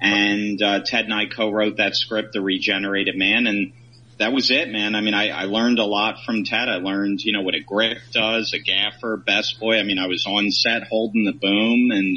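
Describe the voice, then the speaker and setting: Using monotone, flat intonation, a man with an American accent speaks at a moderate pace and a fairly low pitch. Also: hardly any pauses. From Philadelphia area, then Michigan. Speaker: film director. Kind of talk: casual interview chat.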